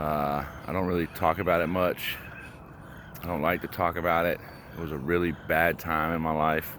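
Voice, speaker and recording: The speech comes at a moderate pace in a monotone, flat intonation, with long, frequent pauses. Noticeable background noise is present. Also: man, very deep, low pitch for a man. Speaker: vlogger on a walking challenge. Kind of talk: personal testimony vlog. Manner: halting, many pauses and fillers.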